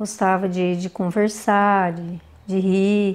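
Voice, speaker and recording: A woman speaks at a very slow pace. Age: 60s. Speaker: daughter of the truck driver, interviewee. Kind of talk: interview testimony.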